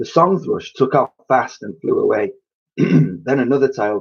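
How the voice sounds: The background is quiet behind a natural reading voice.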